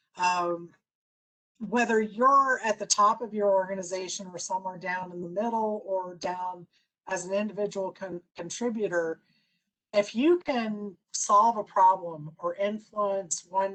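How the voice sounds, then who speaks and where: A woman speaks at a medium pitch and a fairly slow pace, with fairly even intonation, in a normal speaking voice. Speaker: business consultant and speaker. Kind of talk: presentation.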